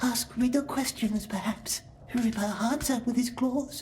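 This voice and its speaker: A woman uses a high-pitched, nervous-sounding put-on character voice at a moderate pace, with very even loudness. Clear background noise can be heard. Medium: video game. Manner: nervous, broken grammar.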